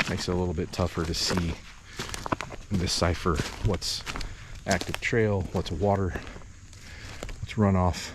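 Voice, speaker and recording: Over noticeable background noise, a man with a very deep, low pitch talks at a moderate pace with fairly even intonation and long, frequent pauses. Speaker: bowhunter and outdoor video host. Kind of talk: walk-and-talk hunting vlog. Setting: outdoors in timber on a bluff. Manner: whispering at times.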